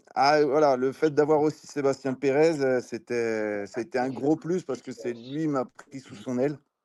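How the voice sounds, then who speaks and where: A man with a dark, mellow tone and medium pitch, fairly slow yet with hardly any pauses, fairly even intonation, big swings in loudness, and a quiet background. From Brittany, western France. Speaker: former football striker. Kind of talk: interview. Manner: hesitant with many fillers.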